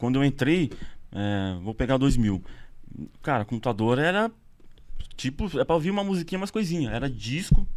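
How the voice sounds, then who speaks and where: A man speaks at a moderate pace with very wide pitch swings and long, frequent pauses against a quiet background. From Brazil, São Paulo state. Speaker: radio station staff. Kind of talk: casual chat. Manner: casual, slangy. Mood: relaxed storytelling. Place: studio. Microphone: studio mic.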